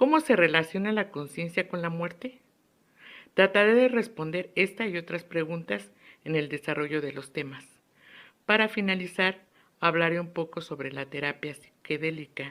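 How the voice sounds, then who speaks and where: The voice is an unremarkable speaking voice with lively intonation, moving at a moderate pace on a very clean recording with a silent background. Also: woman, fairly low pitch for a woman. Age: 60s. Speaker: psychologist and student. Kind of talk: lecture. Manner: formal.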